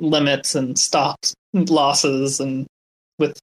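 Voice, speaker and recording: In a dry, close sound with no echo, a man with a fairly high pitch speaks very slowly in a monotone, flat intonation. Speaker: crypto community member. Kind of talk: casual panel discussion. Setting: online audio room.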